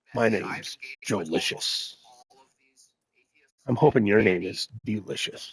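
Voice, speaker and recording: A raspy, put-on character voice comes through with a dry, close sound and no echo. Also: man. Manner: smooth, flirty, trying to sound cool.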